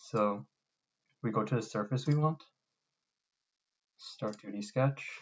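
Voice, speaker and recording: Pitched at a medium level, a man talks with ordinary pitch variation and long, frequent pauses. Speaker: robotics club instructor. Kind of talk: tutorial. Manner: fast; casual.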